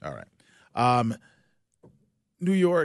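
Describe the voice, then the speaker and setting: A man with an American accent speaks using lively intonation. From South Jersey, near Philadelphia. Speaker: sports news anchor. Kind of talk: interview. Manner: fast.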